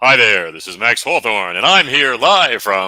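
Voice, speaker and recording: A man's put-on character voice at a moderate pace. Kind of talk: announcer delivery. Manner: high-energy, animated.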